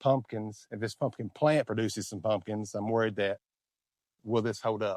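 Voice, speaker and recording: With an Appalachian accent, a man talks in a relaxed tone at medium pitch with fairly even intonation, on a very clean recording with a silent background. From Eastern Kentucky. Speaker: vlogger. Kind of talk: casual talk to camera. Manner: relaxed, conversational.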